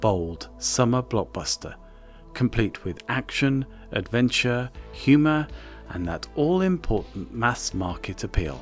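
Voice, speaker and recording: Over music in the background, soft-spoken speech unfolds at a fairly slow pace. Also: man. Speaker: video essay narrator. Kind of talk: film history narration. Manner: soft, ASMR-like.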